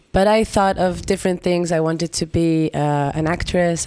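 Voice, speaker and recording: A woman's fairly low voice with an Israeli accent, on a very clean recording with a silent background. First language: Hebrew. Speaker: singer-songwriter. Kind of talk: interview. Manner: halting.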